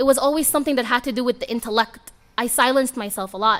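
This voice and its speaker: At a fairly quick pace, a woman with an Arabic accent speaks at a high pitch with ordinary pitch variation. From Sudan, moved to US (Virginia) at age seven. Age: 20s. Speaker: guest speaker. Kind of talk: motivational talk. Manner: casual, conversational.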